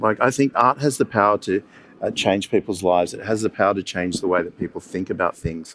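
A man in an Australian accent, fairly quick in pace with lively intonation, in a dry, close sound with no echo. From Sydney, Australia. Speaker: museum director. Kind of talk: panel discussion.

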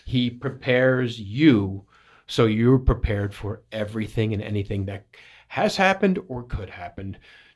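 Recorded very cleanly with a silent background, a man in a normal speaking voice talks at medium pitch and a moderate pace, with ordinary pitch variation and big swings in loudness. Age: 50s. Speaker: radio station owner and co-host. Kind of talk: radio talk show. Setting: studio.

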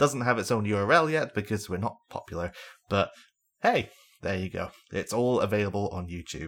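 On a very clean recording with a silent background, a man with a normal speaking voice and fairly low pitch talks at a fairly quick pace with lively intonation. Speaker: podcast host. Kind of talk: casual chat.

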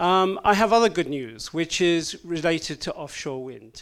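Against a silent background on a very clean recording, a man talks with lively intonation, high pitch and a fairly slow pace. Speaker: offshore wind industry advocate. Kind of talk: panel presentation. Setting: stage with audience.

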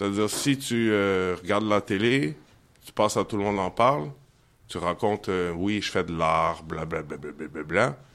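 At a fairly slow pace, a man with a very deep, low pitch speaks with lively intonation. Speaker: singer-songwriter and poet. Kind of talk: poetry reading. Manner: halting.

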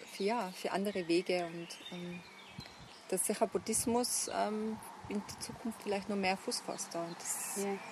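Amid noticeable background noise, a woman speaks with fairly even intonation and long, frequent pauses. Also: medium pitch for a woman, fairly slow pace. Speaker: buddhist nun. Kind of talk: interview conversation. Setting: outdoors. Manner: halting. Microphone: poor sound quality.

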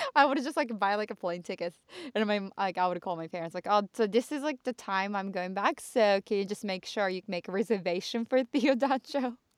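A woman's animated voice at medium pitch and a moderate pace, with ordinary pitch variation, a dry, close sound with no echo, and a very clean recording over a silent background. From Japan, Chofu (western Tokyo suburb). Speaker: podcast co-host. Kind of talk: casual bilingual chat. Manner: animated, frequent laughter.

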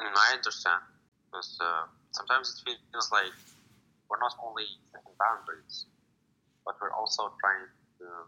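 With an Arabic accent, a man speaks at a moderate pace. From Morocco. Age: 20s. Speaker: student poet. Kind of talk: interview. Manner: halting.

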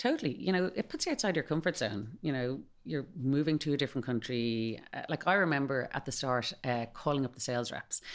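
With a Dublin accent and a very deep, low pitch, a woman speaks at a fairly quick pace with lively intonation and hardly any pauses, on a very clean recording with a silent background. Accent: Dublin Irish. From Dublin, Ireland. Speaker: company managing director, former brand ambassador. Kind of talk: interview, casual chat.

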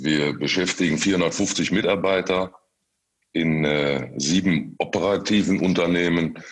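This man's voice is very deep and low, with vocal fry and fairly even intonation. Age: 50s. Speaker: construction company managing director. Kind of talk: interview. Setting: video call. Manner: halting, many repetitions and fillers.

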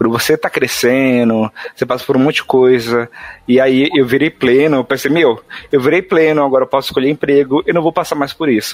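With a dry, close sound and no echo, a man talks at a fairly quick pace at medium pitch with ordinary pitch variation, though noticeable background noise is present. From São Paulo, Brazil, Northeastern parents. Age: 20s. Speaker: software developer. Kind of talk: casual chat.

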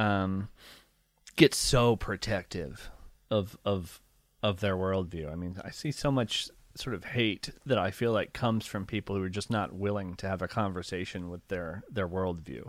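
A man with an American accent speaks at a moderate pace in an ordinary speaking voice, his pitch fairly low. The recording is very clean, with a silent background. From rural Ohio, near Appalachia. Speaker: nature writer and podcaster. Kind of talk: interview.

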